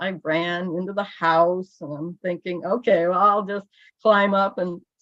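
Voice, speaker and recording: Her intonation fairly even, a woman with a Midwestern accent talks at a moderate pace. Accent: American Midwest. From US Midwest, Illinois. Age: 60s. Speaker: church member giving testimony. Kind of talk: testimony. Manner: halting.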